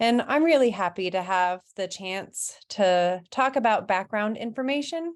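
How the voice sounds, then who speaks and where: Intonation is lively as a woman speaks at a fairly slow pace in a normal speaking voice. The background is quiet. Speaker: parent advocate and presenter. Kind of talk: presentation.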